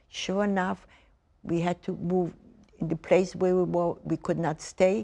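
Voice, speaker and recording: Recorded very cleanly against a silent background, a woman speaks with a fairly low pitch and a dark, mellow tone. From Poland. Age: 90s. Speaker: Holocaust survivor. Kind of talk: testimony. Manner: halting.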